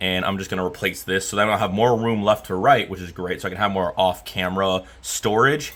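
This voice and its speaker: This man talks at a very fast pace in a fairly low voice. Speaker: electronics repair technician. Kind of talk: casual repair tutorial. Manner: loud; casual with hesitations.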